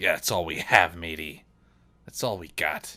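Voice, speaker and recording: In a put-on character voice, a man talks raspily at a moderate pace. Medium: actual play. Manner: folksy pirate talk with 'aye' and 'matey'.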